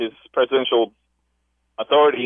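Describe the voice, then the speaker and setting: A man with an American accent at a moderate pace. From Los Angeles. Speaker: caller. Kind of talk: call-in political comment. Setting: phone call. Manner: halting, many fillers.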